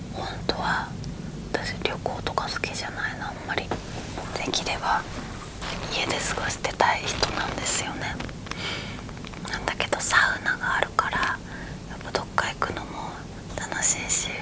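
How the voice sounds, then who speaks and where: A woman talks over loud background noise, leaving long, frequent pauses. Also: moderate pace. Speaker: ASMR creator. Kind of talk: ASMR bedtime chat. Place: home room.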